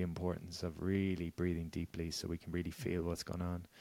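On a very clean recording with a silent background, a man with a very deep, low voice speaks at a fairly quick pace in an Irish accent. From Ireland, Galway. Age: 30s. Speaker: wellness coach and author. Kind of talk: casual interview chat.

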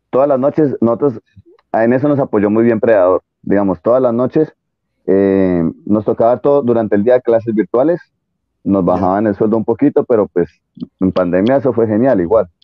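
A man with an ordinary speaking voice talks at a medium pitch and moderate pace, with ordinary pitch variation and very even loudness. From Colombia. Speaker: jiu-jitsu competitor, former triathlete. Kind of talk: interview.

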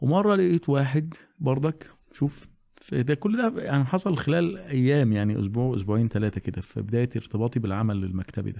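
Using lively intonation and a dark, mellow tone, a man speaks at a medium pitch and a moderate pace. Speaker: Quran teacher. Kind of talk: casual chat.

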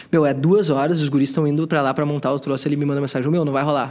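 At a very fast pace, a man talks with fairly even intonation and a fairly high pitch. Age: 30s. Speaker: podcaster. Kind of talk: casual chat. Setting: brewery taproom.

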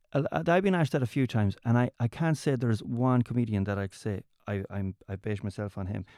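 A man with a west of Ireland accent speaks at a very fast pace, at medium pitch with lively intonation and a dark, mellow tone. The recording is very clean with a silent background and a dry, close sound with no echo. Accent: west of Ireland Irish. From Ireland, County Mayo. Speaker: comedian. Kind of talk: casual chat.

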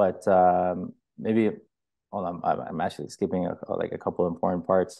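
With flat, monotone intonation, a man speaks at a very deep, low pitch. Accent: Toronto. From Markham, Ontario, Canada. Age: 20s. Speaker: hair studio owner. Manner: casual, slangy, with filler words.

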